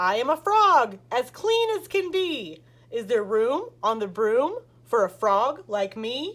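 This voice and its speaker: A woman does a croaky, put-on character voice at a high pitch. She goes at a fairly slow pace with very wide pitch swings. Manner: polite, hopeful.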